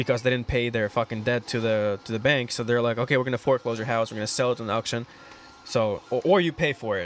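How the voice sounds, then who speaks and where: Very fast speech with fairly even intonation, over noticeable background noise. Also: man. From Russia. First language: Russian. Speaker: aspiring real estate investor. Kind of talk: casual chat.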